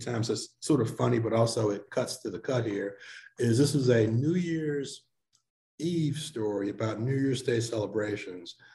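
A man with an American accent speaks at a moderate pace in a medium pitch. His voice is somewhat breathy, with a dark, mellow tone and ordinary pitch variation. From St. Louis, Missouri. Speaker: newspaper editor. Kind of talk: interview.

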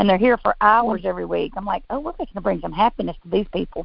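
Speaking at a fairly quick pace, a woman uses vocal fry. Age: 50s. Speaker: physical therapist and business owner. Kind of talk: interview.

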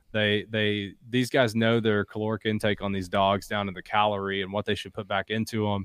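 Speaking with hardly any pauses, a man uses a fairly low pitch and a monotone, flat intonation. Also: fairly quick pace. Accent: Appalachian. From southeastern Kentucky (Appalachia, Bell County). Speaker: outdoor company founder and hunter. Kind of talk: casual chat.

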